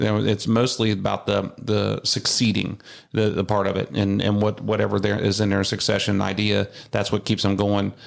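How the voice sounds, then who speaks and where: A man's fairly low voice with vocal fry, monotone flat intonation, very even loudness, and a moderate pace, on a very clean recording with a silent background. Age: 40s. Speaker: home builder, podcast host. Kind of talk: casual interview chat. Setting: studio.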